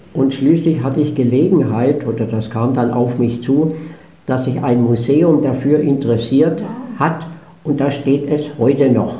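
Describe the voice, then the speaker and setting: With audible room echo and noticeable background noise, a man speaks at a fairly slow pace, his fairly high pitch showing ordinary pitch variation. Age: 80s+. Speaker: motorcycle traveler. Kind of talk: interview. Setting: studio.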